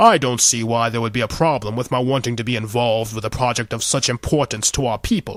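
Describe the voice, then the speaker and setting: Putting on a character voice, a man rattles along at a very fast pace with hardly any pauses, a medium pitch and fairly even intonation. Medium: read story. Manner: indignant, self-important.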